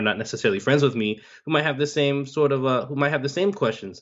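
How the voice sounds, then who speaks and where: With an American accent, a man speaks at a very fast pace with ordinary pitch variation. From Miami, Florida, US. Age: 20s. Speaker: finance podcaster. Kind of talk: interview. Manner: casual, many fillers.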